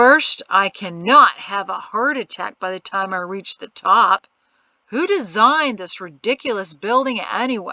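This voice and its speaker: A woman's put-on character voice, fairly high, wheezy and strained, with lively intonation at a moderate pace and a dry, close sound with no echo. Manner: complaining, dry.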